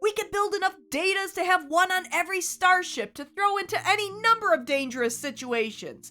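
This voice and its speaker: Over music in the background, a woman speaks in a raised, projected voice at an extremely high pitch, her pitch swinging very widely. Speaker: YouTube TV analysis host. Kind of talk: video essay narration. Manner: wry, humorous.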